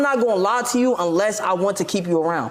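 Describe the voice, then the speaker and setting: The speaker talks at a very fast pace with ordinary pitch variation over noticeable background noise. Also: man. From Maryland, PG County. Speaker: streamer and boxer. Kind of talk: interview.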